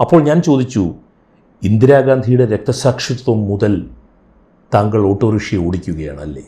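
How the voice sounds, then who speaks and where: Fairly low for a man, this voice is somewhat breathy and has a dark, mellow tone with lively intonation. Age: 60s. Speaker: podcast host. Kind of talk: storytelling narration. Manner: measured, pausing.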